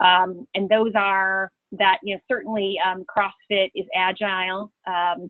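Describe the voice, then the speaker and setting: A woman with a Chicago accent. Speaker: change management consultant and trainer. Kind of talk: webinar presentation. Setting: webinar call.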